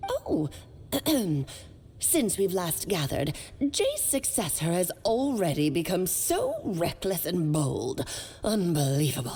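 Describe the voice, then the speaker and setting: A woman puts on a character voice at a medium pitch, speaking at a fairly slow pace with long, frequent pauses over clear background noise. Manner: scolding, haughty.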